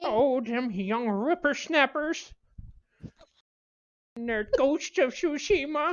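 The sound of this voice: The put-on character voice moves at a very slow pace with long, frequent pauses. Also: man, extremely high pitch for a man.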